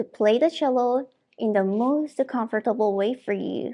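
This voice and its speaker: A woman speaks at a fairly slow pace. Her pitch sits fairly high, with ordinary variation. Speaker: cello professor. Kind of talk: tutorial. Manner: formal.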